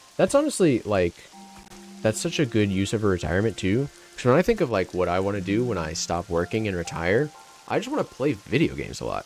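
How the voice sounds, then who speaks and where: A man with a fairly low pitch speaks in an animated tone. Noticeable background noise runs underneath. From Florida. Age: 20s. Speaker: video game streamer. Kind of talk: live stream chat while gaming.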